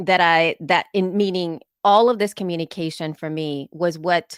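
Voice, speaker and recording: On a very clean recording with a silent background, a woman with a fairly low pitch and ordinary pitch variation is heard in a dry, close sound with no echo. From El Salvador, moved to US as a child. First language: Spanish. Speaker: podcaster and conference speaker. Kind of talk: conference talk. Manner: conversational with frequent fillers.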